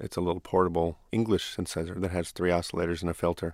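A man speaks with a very deep, low pitch at a very fast pace. The sound is dry and close with no echo, and the recording is very clean against a silent background. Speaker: musician, producer and synthesizer historian. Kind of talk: interview.

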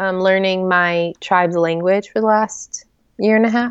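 A woman with an American accent and a plain, everyday voice, at a fairly slow pace with fairly even intonation. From US Southwest and Midwest (New Mexico, Oklahoma, Joplin Missouri). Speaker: author. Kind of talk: casual interview chat.

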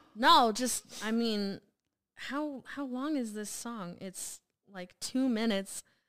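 Speaking at a very slow pace, a woman with a fairly high pitch lets her loudness swing widely. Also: ordinary pitch variation. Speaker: guest, host's daughter. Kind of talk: casual chat, music reaction.

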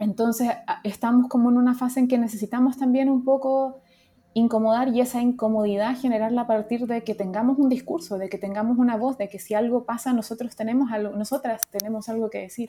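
The speaker moves at a fairly quick pace. Intonation stays fairly even. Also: woman, fairly high pitch for a woman. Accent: Chilean. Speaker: UX designer. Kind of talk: casual chat. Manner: halting.

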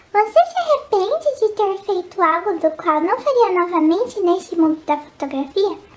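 An extremely high-pitched woman at a moderate pace, hardly any pauses, with noticeable background noise. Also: lively intonation. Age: 20s. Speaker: photography youtuber. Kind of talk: casual vlog Q&A. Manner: animated.

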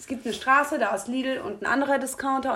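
The woman's voice is high-pitched. She speaks at a fairly quick pace. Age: 20s. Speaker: retail worker and podcast co-host. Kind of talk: casual chat.

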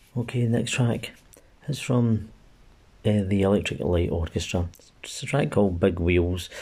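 In a Glaswegian accent, a man with a dark, mellow, somewhat breathy tone speaks at a moderate pace with ordinary pitch variation and long, frequent pauses. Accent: Glaswegian Scottish. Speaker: amateur music podcast host. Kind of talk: casual music show links. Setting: recording at home during lockdown.

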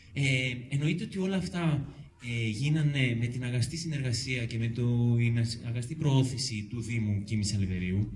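Audible room echo and noticeable background noise surround this man's voice. He speaks fairly slowly at a medium pitch, with ordinary pitch variation. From Euboea, Greece. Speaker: local resident activist. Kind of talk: public talk. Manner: halting.

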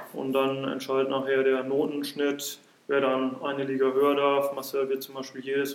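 A fairly high-pitched man's voice amid noticeable background noise. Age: 30s. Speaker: football referee. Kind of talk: casual chat. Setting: in a pavilion at the club grounds.

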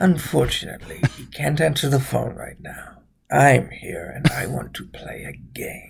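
This is a put-on character voice with a raspy sound. The pace is moderate. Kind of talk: horror-movie parody. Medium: game stream. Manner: menacing, slow, theatrical.

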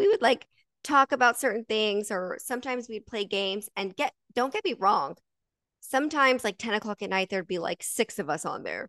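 In an unremarkable speaking voice, a woman talks at a fairly quick pace with a fairly high pitch and lively intonation, in a dry, close sound with no echo over a quiet background. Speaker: podcast host. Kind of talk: casual chat. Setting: livestream.

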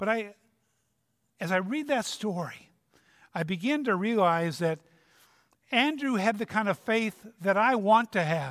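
Over a very clean recording with a silent background, a man with a high pitch and a Minnesota accent speaks at a fairly slow pace with lively intonation and long, frequent pauses. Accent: Upper Midwest (Minnesota) American. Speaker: retired pastor, guest preacher. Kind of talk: sermon. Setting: church.

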